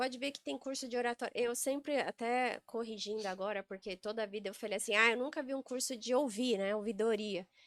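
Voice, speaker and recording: A woman with an unremarkable speaking voice talks at a fairly quick pace and a fairly high pitch, with ordinary pitch variation and hardly any pauses. The recording is very clean, with a silent background and a dry, close sound with no echo. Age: 40s. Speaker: sales and real estate executive. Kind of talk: podcast interview conversation.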